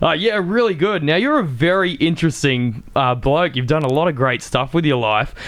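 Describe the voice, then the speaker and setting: A man speaks with an Australian accent. His fairly high pitch carries lively intonation. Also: moderate pace, hardly any pauses, very even loudness. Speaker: podcast host. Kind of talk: podcast interview.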